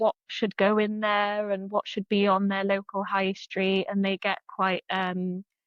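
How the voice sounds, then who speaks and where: A fairly slow, monotone, flat delivery in a South Wales accent, with hardly any pauses. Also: woman, medium pitch for a woman. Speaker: freelance marketing consultant. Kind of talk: interview answer.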